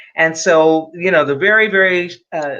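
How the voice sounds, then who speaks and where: Here is a woman with an American accent. She talks at a fairly slow pace. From Los Angeles, California. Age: 70s. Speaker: clinical psychologist. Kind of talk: interview. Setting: livestream.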